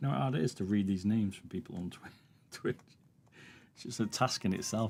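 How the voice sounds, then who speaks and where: Over music in the background, a man with an English accent and a fairly low pitch speaks at a very fast pace, with ordinary pitch variation, big swings in loudness and long, frequent pauses. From England. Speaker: streamer. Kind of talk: casual chat. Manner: hard to understand.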